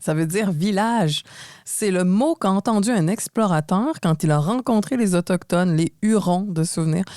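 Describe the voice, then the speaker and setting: With a Quebec accent, a woman speaks at a moderate pace in a dark, mellow tone of medium pitch with ordinary pitch variation, captured in a very clean recording with a silent background and a dry, close sound with no echo. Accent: Québécois. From Quebec, Montreal. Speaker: podcast co-host. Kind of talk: scripted podcast conversation.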